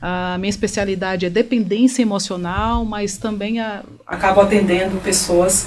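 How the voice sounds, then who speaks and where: A woman speaks at a medium pitch and a fairly slow pace, with fairly even intonation. Noticeable background noise and audible room echo fill the recording. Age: 40s. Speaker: therapist. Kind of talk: interview.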